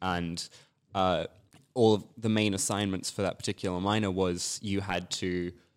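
At a fairly slow pace and with fairly even intonation, the speaker talks in an Australian accent on a very clean recording with a silent background. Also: man. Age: 20s. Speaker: writer. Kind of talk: casual chat.

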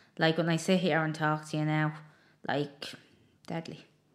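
On a very clean recording with a silent background, a woman with an Irish accent speaks. Her pitch is fairly low and her pace moderate. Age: 20s. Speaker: podcast host. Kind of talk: casual interview chat.

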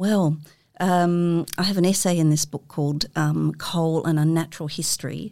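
A woman with an Australian accent, fairly low-pitched with a dark, mellow tone, at a moderate pace and fairly even intonation, on a very clean recording with a silent background. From Sydney, Australia. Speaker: writer and creative writing lecturer. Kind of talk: casual interview. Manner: halting, many fillers.

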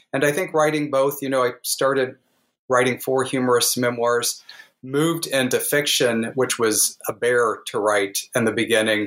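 In an ordinary speaking voice, a man with an American accent talks at a moderate pace and medium pitch, with ordinary pitch variation. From US Midwest, southwest Missouri Ozarks. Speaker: author. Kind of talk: interview.

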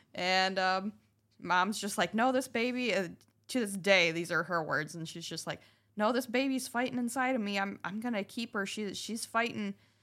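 A woman's bright, sharp voice at medium pitch, with ordinary pitch variation and a moderate pace, on a very clean recording with a silent background. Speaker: co-host, sharing her story. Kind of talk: casual conversation.

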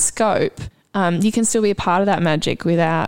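A woman's medium-pitched voice in an Australian accent. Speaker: podcast host and clown performer. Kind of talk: casual chat. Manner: animated.

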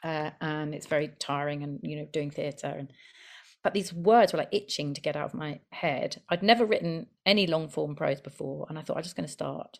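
Against a quiet background, a woman with a very deep, low pitch and vocal fry speaks at a moderate pace with ordinary pitch variation. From London and the Midlands. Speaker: debut novelist and actor. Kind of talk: podcast interview.

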